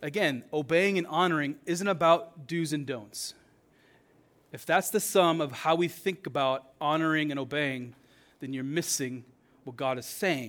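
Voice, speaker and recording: A normal speaking voice from a man with a fairly high pitch, ordinary pitch variation and a fairly slow pace, on a very clean recording with a silent background. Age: 40s. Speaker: pastor. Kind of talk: sermon. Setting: church.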